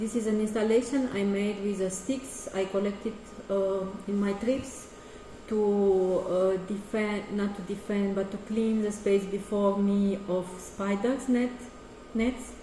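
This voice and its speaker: The woman speaks at a fairly slow pace with fairly even intonation. Noticeable background noise and audible room echo are present. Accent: Romanian. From Romania. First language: Romanian. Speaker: artist. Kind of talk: casual presentation of artworks. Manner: halting.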